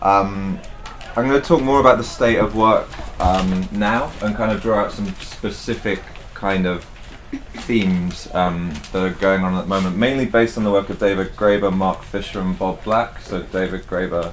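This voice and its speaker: The speaker is quiet and mumbling, with a moderate pace and ordinary pitch variation, over noticeable background noise. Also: man, fairly low pitch for a man. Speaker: speaker at a bookshop talk. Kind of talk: talk to an audience. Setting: bookshop event with audience.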